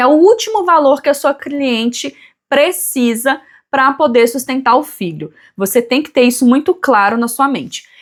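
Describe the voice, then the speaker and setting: A woman with a high pitch speaks at a fairly slow pace with lively intonation, recorded very cleanly over a silent background. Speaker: family lawyer. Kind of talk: tutorial.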